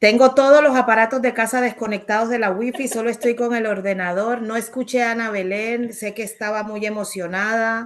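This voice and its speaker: At a fairly quick pace, a woman talks with hardly any pauses. Her fairly high pitch keeps a fairly even intonation. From Colombia, Caribbean islands (raizal). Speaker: writer and activist speaker. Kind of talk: online talk Q&A.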